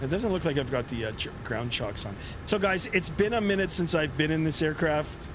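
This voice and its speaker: A man with a Canadian accent at a fairly quick pace, fairly high-pitched, with very wide pitch swings, noticeable background noise and audible room echo. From Canada, southern Ontario. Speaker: flight sim streamer, pilot. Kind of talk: live stream commentary. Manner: casual, hesitant with many fillers.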